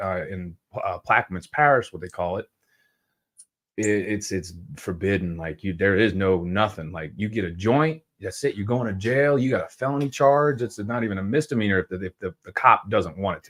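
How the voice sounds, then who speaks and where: In a Southern US accent, a man talks at a fairly quick pace with a fairly low pitch and lively intonation, his loudness swinging widely. The recording is very clean, with a silent background. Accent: Southern accent, noticeable. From US South, New Orleans area, Louisiana. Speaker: cannabis grower, podcast guest. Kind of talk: casual chat.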